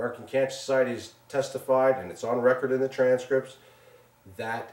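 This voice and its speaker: A loud voice with a Long Island accent. The pace is very fast. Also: man. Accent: New York (Long Island). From Long Island, New York. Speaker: businessman and show co-producer. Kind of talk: interview testimony. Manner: animated.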